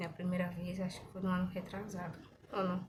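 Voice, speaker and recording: The woman is soft-spoken. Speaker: hair care vlogger. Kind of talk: casual vlog chat. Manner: soft-spoken, quiet.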